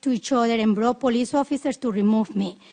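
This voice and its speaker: A woman with a Spanish accent talks at a fairly quick pace with ordinary pitch variation. The sound is dry and close with no echo, and there is noticeable background noise. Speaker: public hearing witness, poll challenger. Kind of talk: testimony. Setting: senate committee hearing. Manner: impassioned.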